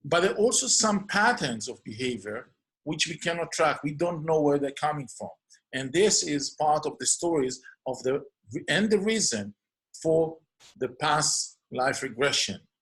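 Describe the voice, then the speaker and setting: A man with an Israeli accent, fairly high pitch, lively intonation and moderate pace. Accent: non-native English, Hebrew. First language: Hebrew. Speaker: clinical hypnotherapist. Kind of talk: podcast introduction monologue.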